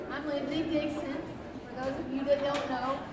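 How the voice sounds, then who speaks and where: A woman is speaking in a room with audible echo. Noticeable background noise runs underneath. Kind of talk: public speech. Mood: earnest, touching story. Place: stage. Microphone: pa.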